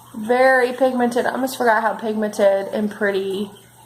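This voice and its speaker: Fairly slow speech from a woman with an American accent and a fairly high pitch, over noticeable background noise. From northern Kentucky / Cincinnati area. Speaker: beauty vlogger. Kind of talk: makeup tutorial. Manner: animated.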